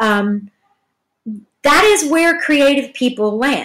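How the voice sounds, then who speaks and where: A woman with a Southern US accent at a fairly slow pace, her pitch swinging very widely. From Georgia, US South. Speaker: podcast host. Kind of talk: casual solo commentary. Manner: halting, many fillers.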